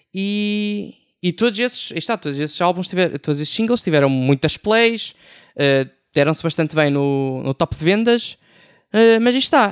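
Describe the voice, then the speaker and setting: A man's high-pitched voice at a moderate pace, dry and close with no echo, in a very clean recording with a silent background. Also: lively intonation. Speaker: music writer. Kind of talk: panel discussion. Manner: halting, many fillers.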